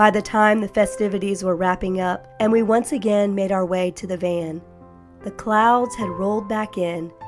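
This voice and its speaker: Over music in the background, a woman speaks at medium pitch in a gentle tone with ordinary pitch variation. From Florida. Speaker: vlogger. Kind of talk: calm vlog narration. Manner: slow, gentle.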